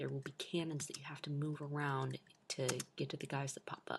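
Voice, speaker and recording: Quiet speech at a moderate pace. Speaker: gaming video creator. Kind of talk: gameplay tutorial. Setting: home recording at night. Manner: quiet, hushed.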